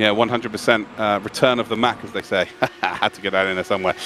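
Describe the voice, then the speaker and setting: A man's voice amid noticeable background noise. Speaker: sim racing commentator. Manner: fast talker; excitable.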